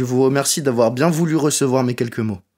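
A man speaks in an ordinary speaking voice at a medium pitch with ordinary pitch variation, on a very clean recording with a silent background. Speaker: dental student. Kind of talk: reading a letter aloud.

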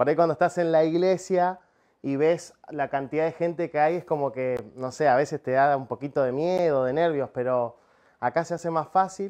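A man speaks at a moderate pace with a fairly high pitch and ordinary pitch variation against a quiet background. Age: 30s. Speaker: preacher, missionary and professional cook; preacher. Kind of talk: sermon. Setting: speaking to a camera, livestreamed meeting. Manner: halting, many filler sounds. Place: studio. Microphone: lapel.

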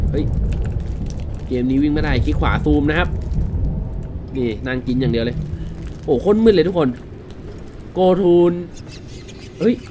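A man's pitch swings very widely as noticeable background noise carries on behind him. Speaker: gaming YouTuber. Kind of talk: casual let's-play commentary. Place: home room.

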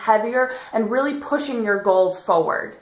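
There is audible room echo on this recording. A woman speaks at a moderate pace. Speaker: fitness vlogger. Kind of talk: casual vlog chat. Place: home room. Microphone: phone near.

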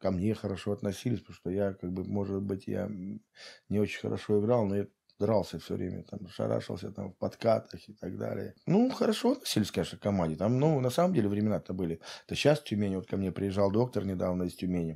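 A man speaks at a very fast pace against a quiet background. His fairly low voice has a dark, mellow tone. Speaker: football coach. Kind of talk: casual interview. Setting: at guest's home. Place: home room. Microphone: studio mic.

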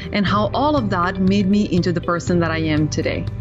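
A woman talks at a moderate speed while clear music plays in the background. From Serbia. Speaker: physiotherapist. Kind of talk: podcast guest interview answer. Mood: warm, earnest. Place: office.

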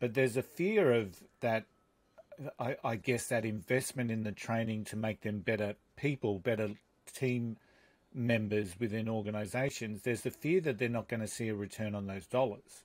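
Delivery moves at a moderate pace. The pitch shows ordinary variation. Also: man, medium pitch for a man. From Australia. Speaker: podcast host and leadership coach. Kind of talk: interview conversation. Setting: remote call. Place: studio. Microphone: studio mic.

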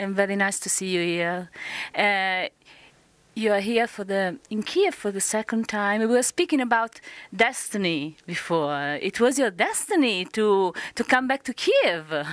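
In an Italian accent, a woman speaks at a fairly slow pace with lively intonation, and the sound is dry with no echo. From Italy. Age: 50s. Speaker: fan club interviewer. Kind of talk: interview. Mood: warm, friendly. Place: hall. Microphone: handheld.

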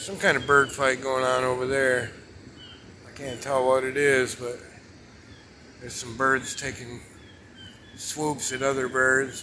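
A man speaks at a fairly slow pace in a monotone, flat intonation. He leaves long, frequent pauses, with light background noise behind him. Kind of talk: casual vlog chat. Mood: relaxed, curious. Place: beach. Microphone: phone near.

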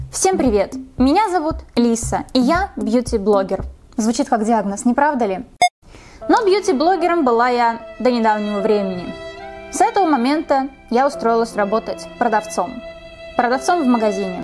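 Clear music plays in the background as a woman with a high pitch speaks at a moderate pace, leaving long, frequent pauses. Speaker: beauty vlogger. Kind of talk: casual vlog chat. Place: home room.

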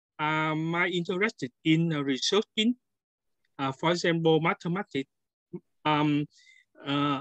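Someone with a Vietnamese accent talks at a fairly slow pace, with long, frequent pauses. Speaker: scientist and software developer. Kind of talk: self-introduction on video call. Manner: halting.

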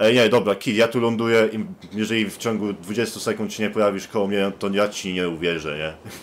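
A man with a plain, everyday voice talks at a fairly quick pace with hardly any pauses and fairly even intonation. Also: fairly low pitch for a man. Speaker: gaming youtuber. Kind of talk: gaming let's play commentary. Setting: online voice chat while gaming. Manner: casual, joking.

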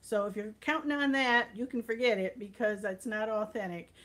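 A woman's voice at a moderate pace with ordinary pitch variation. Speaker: home cooking livestreamer. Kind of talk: casual livestream chat. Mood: warm and cheerful. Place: kitchen. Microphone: phone near.

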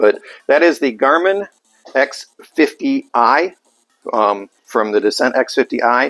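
Faint music sits in the background. A man speaks at a very slow pace. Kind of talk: product demo talk. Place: shop. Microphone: lapel.

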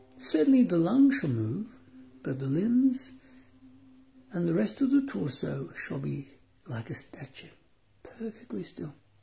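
A calm, dark, mellow tone at a fairly slow pace, with long, frequent pauses, big swings in loudness and very wide pitch swings. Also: man, high pitch for a man. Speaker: meditation guide. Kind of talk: guided meditation. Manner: slow, calm, formal; long silent pauses.

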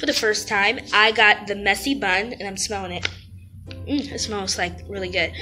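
Faint music sits in the background while a woman speaks at a moderate pace. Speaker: college student vlogger. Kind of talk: casual vlog chat. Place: home room. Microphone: phone near.

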